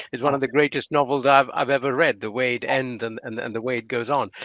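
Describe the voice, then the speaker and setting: Bright and sharp, the tone cuts through. The recording sounds dry and close, without any echo. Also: man. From India. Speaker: non-fiction writer, interviewer. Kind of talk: interview at literary festival. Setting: online festival talk.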